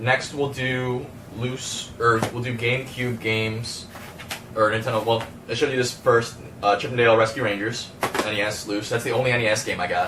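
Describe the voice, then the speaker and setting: Noticeable background noise and audible room echo surround the recording. A man speaks at a medium pitch and a fairly quick pace. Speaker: game collector YouTuber. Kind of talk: casual video haul showcase. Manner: fast; hesitant, many fillers.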